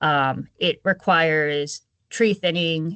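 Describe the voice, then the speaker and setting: Pitched fairly low, a woman talks with lively intonation in a plain, everyday voice. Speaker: conservation agency presenter. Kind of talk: webinar presentation.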